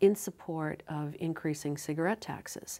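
A woman speaks at a moderate pace. Her pitch is very deep and low. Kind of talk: interview answer. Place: studio.

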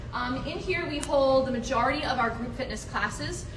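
A woman talks at a moderate pace. Noticeable background noise sits behind her. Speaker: fitness program staff guide. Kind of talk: tour guide explanation. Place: gym. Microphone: camera far.

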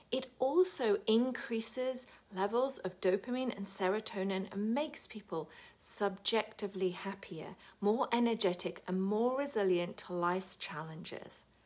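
A woman with a British accent speaks fairly slowly in an upbeat tone, with a medium pitch and ordinary pitch variation. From United Kingdom. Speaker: wellbeing coach. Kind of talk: casual talk to camera. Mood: warm and upbeat. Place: home room. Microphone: phone near.

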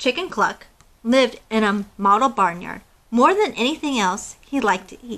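Simply an unforced reading voice.

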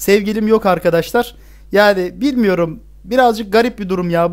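A man with a high-pitched voice speaks over a quiet background. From Turkey, Bursa; Turkey. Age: 20s. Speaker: gaming YouTuber, university student; gaming YouTuber. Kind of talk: casual Q&A monologue to camera. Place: home room.

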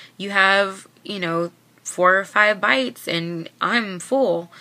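A woman does the talking. Her pitch rises and falls in an ordinary way. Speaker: vlogger sharing weight-loss surgery experience. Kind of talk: casual vlog chat. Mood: earnest, somewhat frustrated. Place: home room. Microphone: webcam.

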